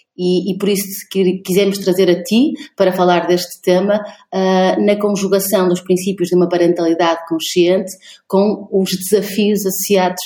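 Her intonation is monotone and flat, and this woman keeps her loudness very even. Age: 30s. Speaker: podcast co-host. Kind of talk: interview conversation. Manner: halting, many repetitions.

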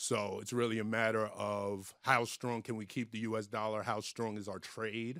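A man with an American accent talks at a medium pitch in a bright, sharp tone with monotone, flat intonation. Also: moderate pace. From New York. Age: 40s. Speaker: comedian. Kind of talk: casual chat.

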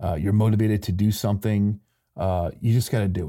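Here a man speaks with an American accent, a fairly low pitch and a dark, mellow tone. The recording is very clean, with a silent background. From Michigan, US Midwest. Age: 40s. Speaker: podcast host. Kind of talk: unscripted solo monologue.

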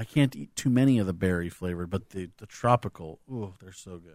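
A man's very deep, low voice with an American accent, ordinary pitch variation and a moderate pace, on a very clean recording with a silent background. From Southern California, US. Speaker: returning podcast guest, theme park fan. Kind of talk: casual chat.

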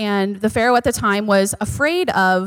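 The speaker is a woman with a medium pitch. Her voice sounds dry and close, with no echo. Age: 30s. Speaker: church member speaker, mother. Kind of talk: church teaching. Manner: halting.

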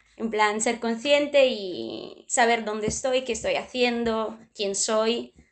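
Against a quiet background, a woman with an Italian accent talks at a very slow pace with hardly any pauses, a fairly high pitch and fairly even intonation. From southern Italy, Puglia. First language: Italian (speaking Spanish). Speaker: dating show participant. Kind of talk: casual chat. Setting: video call.

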